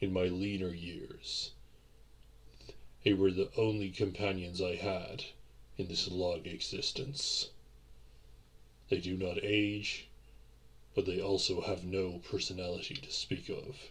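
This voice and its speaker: Putting on a character voice, a man talks at a fairly low pitch and a fairly slow pace, with long, frequent pauses. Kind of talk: audio roleplay. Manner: formal, gentle, apologetic.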